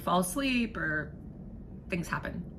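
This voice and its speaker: Amid noticeable background noise, a woman talks at a moderate pace in an animated tone with lively intonation. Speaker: vlogger. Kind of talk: casual vlog monologue. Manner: halting, repeats and trips over words.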